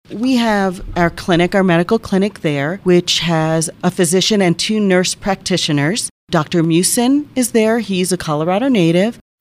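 A woman with an American accent and a normal speaking voice talks at medium pitch and a moderate pace, with ordinary pitch variation. Her loudness stays very even, with hardly any pauses. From New Jersey. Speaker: hospital communications officer. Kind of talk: interview.

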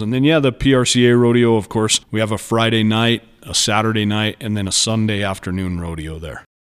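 A man with an ordinary speaking voice talks at a fairly quick pace in a fairly low pitch, with ordinary pitch variation. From Colorado, San Luis Valley. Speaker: rodeo committee treasurer. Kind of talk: interview.

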